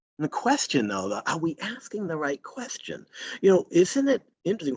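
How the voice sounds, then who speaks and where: In a Boston accent, a man speaks with a high voice and very wide pitch swings, the sound dry and close with no echo. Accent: Boston American. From Boston area, Massachusetts. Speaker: green chemistry scientist. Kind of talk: lecture.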